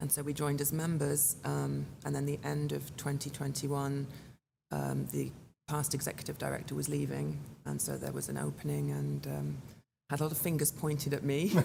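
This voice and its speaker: A woman speaks with a strong British accent at a moderate pace. Room echo is audible. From England. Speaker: chamber of commerce executive director. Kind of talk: interview conversation.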